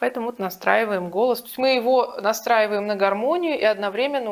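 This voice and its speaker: The speaker is a woman at a moderate pace. Her pitch varies in an ordinary way. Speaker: vocal teacher. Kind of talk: tutorial. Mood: calm, explanatory. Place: home room. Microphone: lapel.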